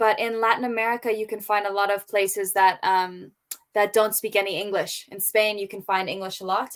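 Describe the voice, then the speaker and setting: The pace is moderate. The speaker is a woman with an Australian accent. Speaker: English tutor. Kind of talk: casual chat.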